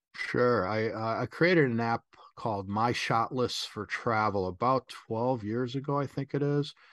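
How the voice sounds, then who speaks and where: Against a quiet background, a man with an unremarkable speaking voice and an American accent talks at a moderate pace, with medium pitch and ordinary pitch variation. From US Midwest (Chicago). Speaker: travel photographer and photography instructor. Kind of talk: interview.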